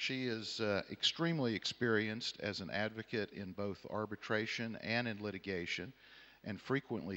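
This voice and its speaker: With a Southern US accent, a man talks at a moderate pace in a fairly low, bright, sharp voice with ordinary pitch variation, recorded very cleanly against a silent background. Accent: American Southern. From Texas, Houston. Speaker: panel chair, arbitration lawyer. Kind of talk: conference panel introduction. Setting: conference hall with audience.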